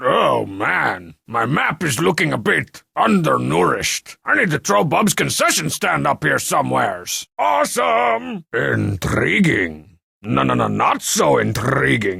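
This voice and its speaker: A raspy, cartoonish character voice from a man at medium pitch, with hardly any pauses. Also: fairly slow pace. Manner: sarcastic, brash.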